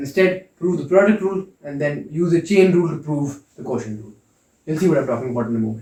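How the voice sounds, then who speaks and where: A man talks very fast in a fairly high, somewhat breathy voice with a dark, mellow tone, lively intonation and big swings in loudness. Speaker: calculus lecturer. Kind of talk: lecture. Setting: lecture hall.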